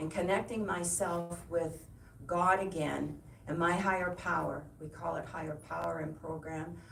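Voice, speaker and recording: A woman with a Canadian accent speaks in a room with audible echo and noticeable background noise. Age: 70s. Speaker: guest speaker at church service. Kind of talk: personal testimony. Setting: church service. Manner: halting, many fillers and repetitions.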